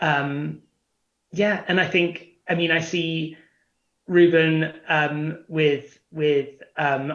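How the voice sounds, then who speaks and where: A man's fairly high voice with a British accent, very slow and monotone, with flat intonation. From England (London area). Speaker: prospective parent, travel company worker. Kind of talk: interview.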